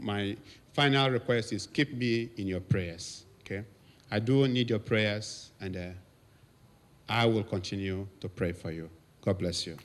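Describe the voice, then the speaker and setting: A man with a Nigerian accent speaks at a fairly low pitch. His pace is fairly slow, with long, frequent pauses. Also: ordinary pitch variation, very clean recording, silent background. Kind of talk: anniversary speech to congregation.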